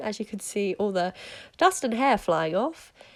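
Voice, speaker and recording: In a British accent, a woman speaks with very wide pitch swings. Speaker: horse rider. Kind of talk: voiceover narration.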